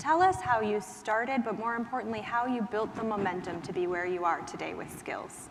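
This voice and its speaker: Over noticeable background noise, a woman with an American accent talks at a fairly quick pace with hardly any pauses and ordinary pitch variation. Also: fairly high pitch for a woman. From Minnesota. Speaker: panel moderator. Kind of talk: panel moderation.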